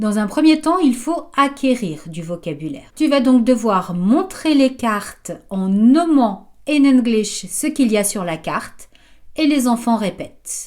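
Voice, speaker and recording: At a very slow pace, a woman with a slight French accent speaks in a high pitch that moves in very wide swings. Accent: slight French accent when speaking English. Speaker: English teacher for children. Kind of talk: tutorial. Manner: clear, didactic.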